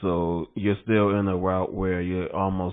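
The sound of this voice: A man's low voice with little pitch movement, a fairly slow pace and a clear, smooth tone.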